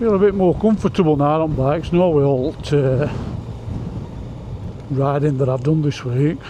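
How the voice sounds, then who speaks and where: A man with a strong South Yorkshire accent talks at a fairly high pitch for a man, with ordinary pitch variation and very even loudness. His long, frequent pauses come over noticeable background noise. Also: moderate pace. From South Yorkshire, Barnsley. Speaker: motorcycle vlogger. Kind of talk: casual riding vlog commentary. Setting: on a motorcycle outdoors.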